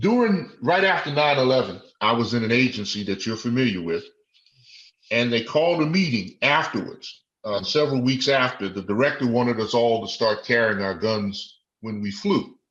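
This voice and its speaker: A man with a normal speaking voice, medium pitch and an American accent talks at a moderate pace with lively intonation. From Washington DC. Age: 60s. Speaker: retired law enforcement officer. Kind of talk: interview.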